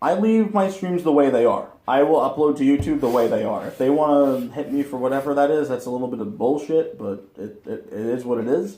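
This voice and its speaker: Talking at a fairly quick pace with hardly any pauses, a man with an American accent uses lively intonation. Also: fairly high pitch for a man. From New York. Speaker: video game streamer. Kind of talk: casual interview chat. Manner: loud; animated.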